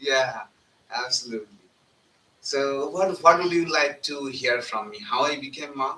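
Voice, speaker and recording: A man with a Bengali accent speaks at a fairly slow pace, leaving long, frequent pauses. His pitch is fairly high, and his loudness swings widely. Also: ordinary pitch variation. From India, northern West Bengal. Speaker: monk. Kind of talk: satsang talk. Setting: live event at a center, live streamed.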